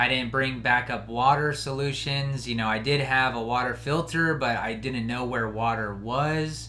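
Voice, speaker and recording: With an American accent, the speaker moves at a moderate pace while audible room echo fills the recording. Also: man, medium pitch for a man. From Colorado. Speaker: podcast host; hunter. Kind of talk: casual monologue.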